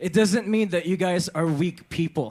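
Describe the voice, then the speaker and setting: A man with lively intonation. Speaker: drag performer. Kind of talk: casual chat. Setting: stage with audience. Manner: halting.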